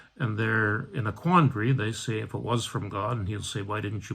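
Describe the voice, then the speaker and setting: A man with a fairly low pitch and ordinary pitch variation speaks at a moderate pace in a very clean recording with a silent background. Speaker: Episcopal priest. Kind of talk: bible study talk. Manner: many hesitations (uh, um).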